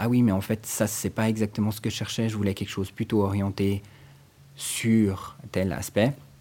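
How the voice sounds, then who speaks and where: A man's fairly low, dark, mellow voice at a moderate pace on a very clean recording with a silent background. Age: 40s. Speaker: librarian. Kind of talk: interview.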